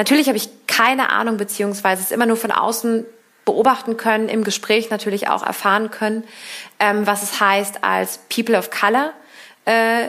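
Here is a woman with an unremarkable speaking voice. Her pitch is fairly high and her pace moderate. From Berlin, Germany. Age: 30s. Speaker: politician. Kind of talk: interview.

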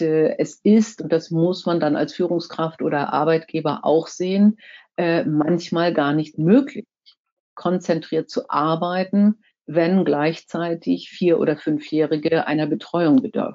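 At a very slow pace, a woman with fairly low pitch speaks with ordinary pitch variation. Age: 60s. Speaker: corporate board member and former finance executive. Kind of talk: talk to a professional association. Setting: virtual online event.

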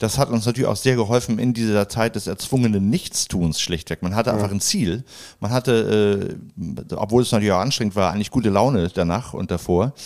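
A man's fairly low voice at a fairly quick pace, with ordinary pitch variation, on a very clean recording with a silent background. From Hamburg, Germany. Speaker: a cappella comedy singer. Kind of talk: casual chat.

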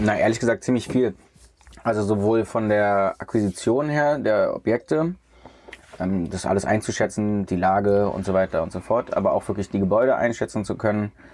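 A man's fairly low voice over noticeable background noise. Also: ordinary pitch variation, moderate pace. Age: 30s. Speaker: hotel CEO. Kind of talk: casual interview. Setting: in a camper van.

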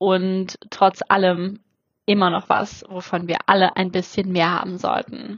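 This is a woman speaking. Her voice sits at a medium pitch. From Germany. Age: 30s. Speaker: podcast host. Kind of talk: solo podcast intro monologue. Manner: animated.

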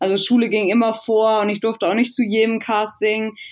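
Fairly quick, monotone, flat delivery from a woman at a fairly high pitch, on a very clean recording with a silent background. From northern Germany, rural Schleswig-Holstein. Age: 20s. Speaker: athlete and fitness influencer. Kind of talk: casual interview.

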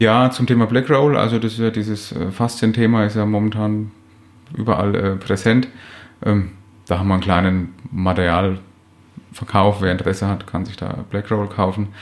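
A man speaks at a moderate pace in an ordinary speaking voice. His pitch is fairly low and his intonation fairly even. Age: 30s. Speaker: physiotherapist and practice owner. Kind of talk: interview. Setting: office.

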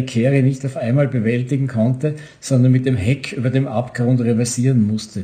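A man's medium-pitched, somewhat breathy voice with a dark, mellow tone, fairly even intonation and a moderate pace. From Austria, Vorarlberg (Bregenz). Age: 70s. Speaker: author and newspaper editor. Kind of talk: reading aloud from his novel.

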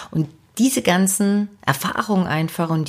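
A woman with a fairly low voice speaks in an animated, enthusiastic tone with lively intonation, on a very clean recording with a silent background. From eastern Germany, Dresden (Saxony). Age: 40s. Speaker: podcast host and personal development coach. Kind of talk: podcast monologue, self-introduction.

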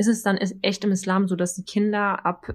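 A somewhat breathy woman at medium pitch, with monotone, flat intonation. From Germany. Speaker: teacher. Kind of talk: casual chat.

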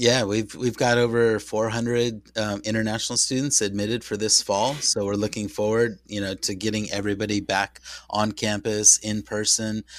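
A man speaks with an American accent at a moderate pace. His fairly low voice has monotone, flat intonation. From San Diego, US West Coast. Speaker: university international programs representative. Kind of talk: interview.

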